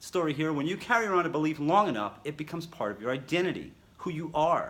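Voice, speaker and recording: This man's voice sits fairly high and has a bright, sharp tone. He sounds animated and talks at a fairly quick pace. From New York City. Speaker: self-help coach. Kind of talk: motivational talk to camera. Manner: fast.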